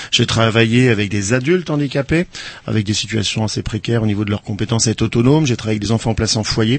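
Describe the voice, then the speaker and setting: A man's medium-pitched voice with ordinary pitch variation and a very fast pace. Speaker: animal-assisted therapy practitioner. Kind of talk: radio interview. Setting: radio studio.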